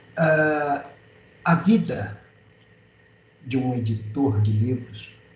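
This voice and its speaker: A man with a medium-pitched voice speaks very slowly. Audible room echo surrounds him. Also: ordinary pitch variation. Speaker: publisher and writer. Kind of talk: webinar talk.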